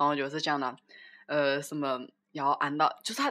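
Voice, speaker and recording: Bright and sharp in tone, a woman speaks with a Wuhan accent on a very clean recording with a silent background. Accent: Wuhan-accented Mandarin. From China, Wuhan. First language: Wuhan dialect (speaking Chinese). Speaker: podcast co-host. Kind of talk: casual chat.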